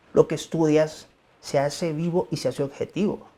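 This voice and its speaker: With a Mexican accent, a man speaks at a moderate pace in a fairly high voice with a dark, mellow tone. His pitch varies in an ordinary way. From Mexico. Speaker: pediatric emergency doctor. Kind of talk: interview.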